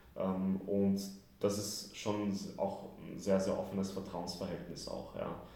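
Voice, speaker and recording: Over noticeable background noise and audible room echo, a man with a fairly low pitch talks at a very slow pace with fairly even intonation. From Austria, Vienna. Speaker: football club press officer. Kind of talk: interview. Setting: large room at training camp. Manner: relaxed.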